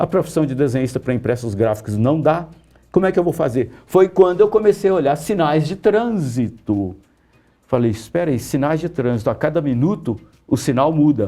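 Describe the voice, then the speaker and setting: With a dark, mellow tone, a man speaks at a moderate pace, his fairly high pitch making very wide swings. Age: 60s. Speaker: comic book artist and writer. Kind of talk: interview. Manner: casual, animated.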